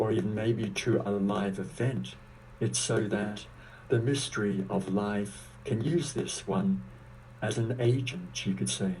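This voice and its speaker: A man with a fairly low pitch talks at a fairly slow pace, his voice swinging very widely in pitch with vocal fry and very even loudness. Audible room echo is present. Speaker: spiritual teacher and author. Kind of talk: interview.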